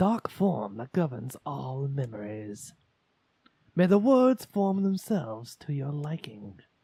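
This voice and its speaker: Putting on a character voice, a man speaks at a fairly slow pace in a fairly high pitch. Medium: game stream. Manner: solemn, dramatic.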